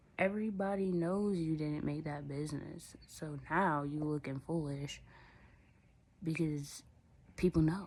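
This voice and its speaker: Very deep, low female voice at a fairly slow pace, broken by long, frequent pauses, with audible room echo. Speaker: religious vlogger. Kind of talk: casual monologue vlog. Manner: animated.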